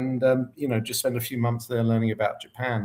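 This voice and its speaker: A man talks at a very fast pace. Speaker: market research consultant. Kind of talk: interview. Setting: live online stream.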